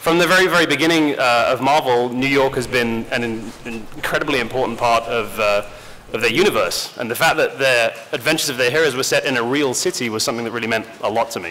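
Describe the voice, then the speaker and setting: Amid noticeable background noise and audible room echo, a man at medium pitch with an English accent rattles along at a very fast pace with ordinary pitch variation. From rural England. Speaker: game studio community director, panel moderator. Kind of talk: convention panel presentation. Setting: stage with audience.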